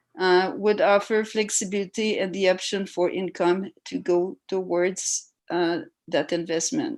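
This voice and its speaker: Hardly pausing, a woman speaks at a fairly slow pace with a medium pitch and ordinary pitch variation. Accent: French. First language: French. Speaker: resident speaking at council public hearing. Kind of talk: public hearing testimony. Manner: halting, many hesitations.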